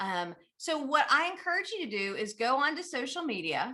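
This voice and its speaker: Pitch swings very widely across the delivery. The tone is bright and sharp, and the voice is raised and projected. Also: woman. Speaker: business trainer and speaker. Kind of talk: conference talk. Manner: fast; energetic.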